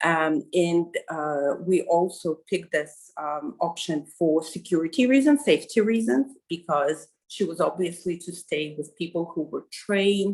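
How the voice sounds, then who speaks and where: A Russian accent with lively intonation, a fairly slow pace and hardly any pauses. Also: woman, fairly low pitch for a woman. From Kazakhstan. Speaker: journalist, interviewee. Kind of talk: interview. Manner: halting, many fillers.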